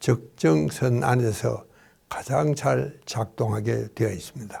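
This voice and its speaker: A man speaks at a very slow pace and a medium pitch. His voice is somewhat breathy, with a dark, mellow tone. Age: 90s. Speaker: psychiatrist and doctor. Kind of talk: interview talk. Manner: formal.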